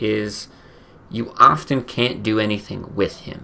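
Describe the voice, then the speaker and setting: A man talking at a very slow pace over light background noise. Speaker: streamer. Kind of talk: casual gameplay commentary. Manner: casual, conversational. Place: home room.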